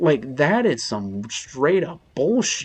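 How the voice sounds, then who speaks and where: His delivery is fairly slow. The man's pitch rises and falls very widely. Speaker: gaming YouTuber. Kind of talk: game review commentary. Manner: stuttering, halting; rambling, animated.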